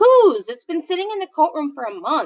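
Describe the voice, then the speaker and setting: Using a put-on character voice, a woman talks at a fairly quick pace with an extremely high pitch, very wide pitch swings, and big swings in loudness. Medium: read story. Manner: authoritative, brusque.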